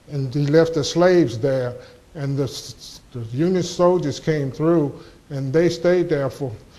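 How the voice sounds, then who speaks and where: Amid noticeable background noise and audible room echo, a man speaks at a fairly slow pace in a fairly high pitch with ordinary pitch variation. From US South, southwest Virginia (Montgomery County). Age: 70s. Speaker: local historian speaker. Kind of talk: lecture. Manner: halting, frequent restarts.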